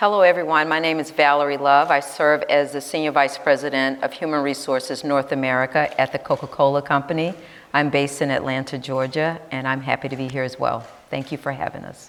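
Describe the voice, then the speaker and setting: Over noticeable background noise, a woman with a very deep, low pitch talks at a fairly quick pace with monotone, flat intonation. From Tennessee. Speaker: corporate HR executive. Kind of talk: panel discussion.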